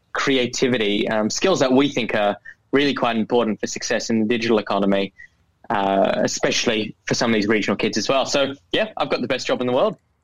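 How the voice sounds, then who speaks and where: Speaking very fast in an Australian accent, a man keeps a medium pitch and fairly even intonation. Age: 20s. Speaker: youth entrepreneur, social enterprise founder. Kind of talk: interview.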